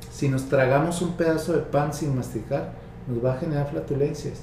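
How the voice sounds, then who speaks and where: Speech at a moderate pace with fairly even intonation, audible room echo and noticeable background noise. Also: man. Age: 50s. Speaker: psychologist. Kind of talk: interview.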